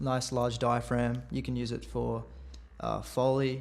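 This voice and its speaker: Room echo is audible as a man speaks fairly slowly. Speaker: student podcast co-host. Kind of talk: casual podcast chat.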